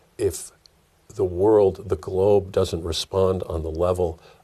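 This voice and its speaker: Against a quiet background, a somewhat breathy voice in a dark, mellow tone moves at a very slow pace. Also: man. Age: 70s. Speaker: activist journalist. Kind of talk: interview. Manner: halting.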